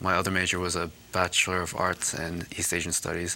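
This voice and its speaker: This man speaks with an American accent. His pitch is very deep and low. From New Jersey, US. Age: 30s. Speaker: marathon runner and charity fundraiser. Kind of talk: interview.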